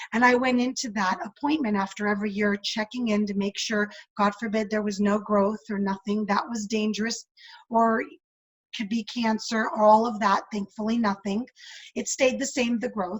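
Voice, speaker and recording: A woman's somewhat breathy, fairly high voice at a moderate pace with fairly even intonation. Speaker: businesswoman and women's coach. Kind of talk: interview.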